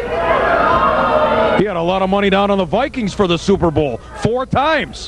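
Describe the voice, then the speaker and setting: Over crowd noise in the background, a man speaks in an excited tone at a fairly slow pace. His pitch is high and swings very widely. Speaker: pro wrestling commentator. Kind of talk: live wrestling match commentary. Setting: local arena show, late 1990s recording. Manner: excited, showman-like, jokey.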